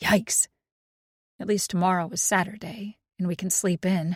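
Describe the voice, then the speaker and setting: Raspy, put-on character voice, female-sounding and middle-pitched, at a moderate pace in a very clean recording with a silent background. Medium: read story.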